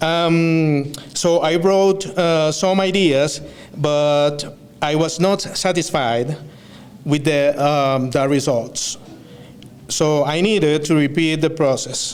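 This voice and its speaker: Speaking in a Spanish accent, a man with a fairly high pitch is heard with audible room echo and noticeable background noise. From Venezuela. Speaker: student speaker. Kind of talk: graduation speech. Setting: stage with audience. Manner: halting, many fillers.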